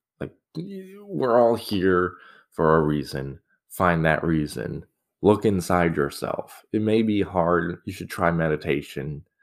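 In a very clean recording with a silent background, a man with an American accent speaks at a very slow pace. His very deep, low pitch shows ordinary pitch variation. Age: 20s. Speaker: podcaster. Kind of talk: casual monologue. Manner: halting.

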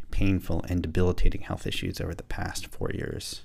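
The man's delivery moves at a fairly quick pace. His intonation is fairly even. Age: 50s. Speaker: business coach and podcast host. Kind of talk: solo podcast monologue. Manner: reflective, with hesitations.

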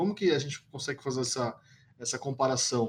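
A man talks at a fairly quick pace with lively intonation in a plain, everyday voice. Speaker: podcast host. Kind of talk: podcast interview.

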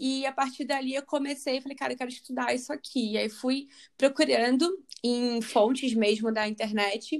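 A woman speaks at a moderate pace with a high pitch and fairly even intonation. The recording is very clean, with a silent background. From Rio de Janeiro, Brazil. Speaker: spiritual coach and biologist. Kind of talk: interview.

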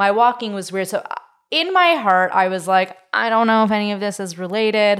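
A woman with a Canadian accent speaks in an unremarkable speaking voice, medium in pitch, with ordinary pitch variation at a moderate pace. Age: 20s. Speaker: podcast host. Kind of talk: casual chat.

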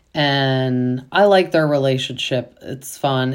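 On a very clean recording with a silent background, a woman with a very deep, low pitch speaks at a very slow pace. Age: 30s. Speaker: podcast host, stay-at-home mom. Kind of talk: casual recap monologue.

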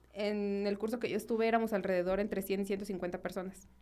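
Speaking at a moderate pace, a woman talks in a central Mexican accent. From Mexico, Guanajuato. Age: 20s. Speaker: architect. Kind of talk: casual interview chat. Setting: studio.

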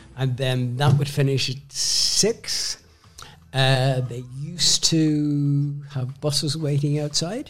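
Through noticeable background noise, a man with a Northern Irish accent talks at a very slow pace with fairly even intonation. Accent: Northern Irish (Belfast). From Northern Ireland (Belfast). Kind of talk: casual interview, storytelling.

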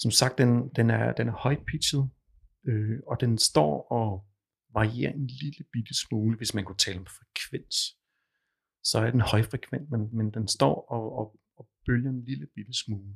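Somewhat breathy and at a medium pitch, a man speaks at a fairly slow pace with ordinary pitch variation in a very clean recording with a silent background. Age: 50s. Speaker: client with tinnitus. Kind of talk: therapy session. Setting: studio. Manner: halting, many fillers.

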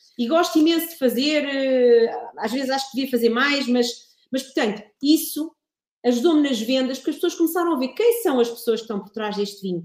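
Lively intonation and a high pitch mark a woman talking at a fairly quick pace. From Portugal, Ribatejo. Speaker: wine producer and communications consultant. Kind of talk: casual interview.

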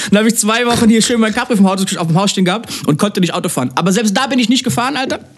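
Very fast speech with hardly any pauses and ordinary pitch variation, over noticeable background noise. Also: man, high pitch for a man. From Germany, near Mannheim. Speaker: DJ and music producer. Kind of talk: casual chat.

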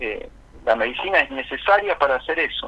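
A man speaks at a fairly quick pace. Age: 40s. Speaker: spiritual consultant. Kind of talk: radio interview. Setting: phone call. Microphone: poor phone connection.

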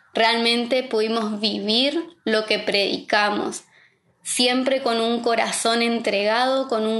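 A woman talks at a very slow rate, her fairly high voice moving up and down in a normal way. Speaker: pastor's wife and preacher. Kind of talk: sermon. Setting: online livestream.

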